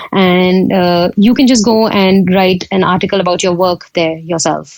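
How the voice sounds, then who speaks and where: A woman with an Indian accent speaks at medium pitch and a moderate pace. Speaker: photographer. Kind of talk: podcast interview. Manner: hesitant, many fillers.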